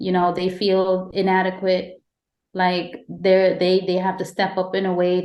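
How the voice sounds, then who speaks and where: Speaking fairly slowly with a slight Caribbean accent, a woman keeps a medium pitch, a flat monotone and very even loudness. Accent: slight Caribbean lilt. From Guyana. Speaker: podcast host. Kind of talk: casual interview chat.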